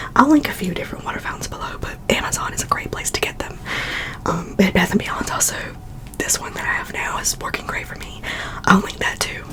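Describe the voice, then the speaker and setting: A woman whispers at a very fast pace. Her loudness swings widely against noticeable background noise. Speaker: ASMR YouTuber and cat owner. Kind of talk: ASMR whispered chatty product haul. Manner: whispered, relaxing, chatty.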